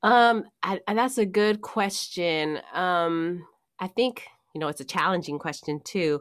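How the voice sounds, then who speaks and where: On a very clean recording with a silent background, a woman with an American accent speaks very slowly at a medium pitch with ordinary pitch variation. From Oakland, California. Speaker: actress and acting teacher. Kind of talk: casual interview chat.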